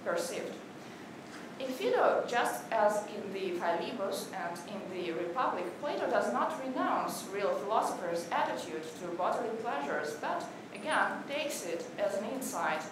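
With clear background noise and audible room echo, a woman at a medium pitch speaks at a fairly slow pace with lively intonation.

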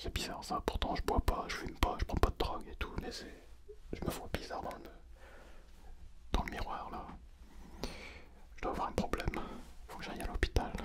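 Whispering and soft-spoken, a man talks at a moderate pace with long, frequent pauses against loud background noise. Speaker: actor vlogger. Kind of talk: casual vlog chat. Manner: puzzled soft whisper. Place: studio. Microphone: studio mic.

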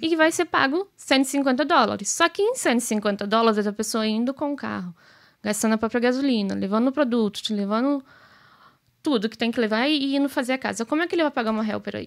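Against a quiet background, a woman talks with a high pitch. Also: lively intonation. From Brazil. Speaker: business owner; podcast guest. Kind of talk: casual chat. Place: studio. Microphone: studio mic.

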